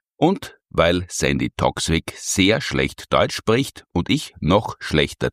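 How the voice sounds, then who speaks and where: On a very clean recording with a silent background and a dry, close sound with no echo, a man speaks fairly slowly in a very deep, low pitch with vocal fry and very wide pitch swings. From Austria. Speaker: podcast host. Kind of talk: podcast interview intro.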